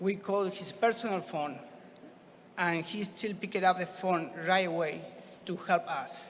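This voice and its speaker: A man with a Spanish accent speaks at a fairly slow pace in a high, flat monotone. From Argentina. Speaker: scuba diver receiving award. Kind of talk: acceptance speech.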